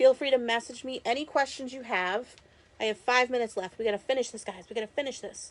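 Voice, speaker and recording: A high-pitched woman's voice with ordinary pitch variation. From Massachusetts, Boston area. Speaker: crafter and direct-sales creator. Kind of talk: live-stream craft tutorial. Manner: casual, chatty with fillers.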